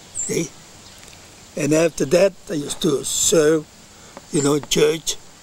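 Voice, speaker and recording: Delivered at a very slow pace, the speech has fairly even intonation and an Italian accent. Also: man, dry sound with no echo. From Italy. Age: 80s+. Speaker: elderly immigrant interviewed by his grandson. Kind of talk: interview answer. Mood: warm, reminiscing. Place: garden.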